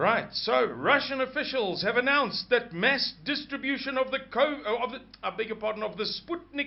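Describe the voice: A man's voice with vocal fry amid audible room echo.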